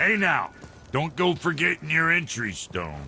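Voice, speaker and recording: Putting on a raspy character voice at a fairly high pitch, a man talks at a moderate pace over clear background noise. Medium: video game. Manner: brash, folksy.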